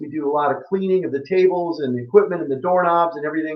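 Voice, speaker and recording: A man with an American accent speaks in a high pitch. His pitch moves in an ordinary way. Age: 60s. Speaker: health practitioner giving a webinar. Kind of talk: online presentation. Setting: online webinar with chat. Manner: casual, filler-heavy.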